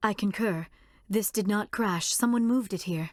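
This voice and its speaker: A woman does a put-on character voice at a medium pitch and moderate pace, in a very clean recording with a silent background. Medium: video game. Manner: formal, precise.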